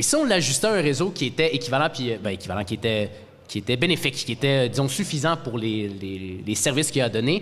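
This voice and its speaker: Very fast talk with very wide pitch swings over noticeable background noise. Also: man, medium pitch for a man. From Outaouais, Quebec. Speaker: podcast co-host and debate moderator. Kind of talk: moderated debate.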